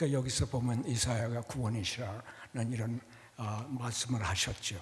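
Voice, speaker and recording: A man speaks at medium pitch and a moderate pace with fairly even intonation. His voice is somewhat breathy, and audible room echo can be heard. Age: 80s+. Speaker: church elder. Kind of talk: testimony talk to congregation. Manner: halting.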